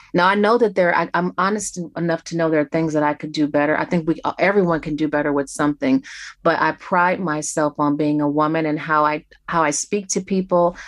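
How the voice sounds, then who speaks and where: A woman with an American accent and an ordinary speaking voice, fairly low in pitch with ordinary variation, at a fairly quick pace. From Detroit. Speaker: record label manager. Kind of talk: interview.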